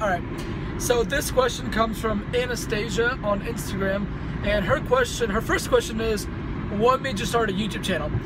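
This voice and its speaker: A man talks at a very fast pace. Loud background noise surrounds his dry voice, which has no echo. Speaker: fitness vlogger. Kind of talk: casual vlog chat. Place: car. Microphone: phone near.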